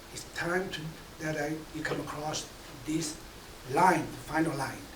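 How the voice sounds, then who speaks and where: At a moderate pace and with fairly even intonation, a man speaks over noticeable background noise, with audible room echo. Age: 70s. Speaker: veteran speaker. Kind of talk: speech at a press conference. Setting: press conference.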